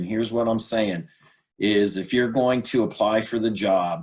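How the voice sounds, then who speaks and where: This man has a normal speaking voice, a fairly low pitch, and fairly even intonation. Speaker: career workshop presenter. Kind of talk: workshop presentation.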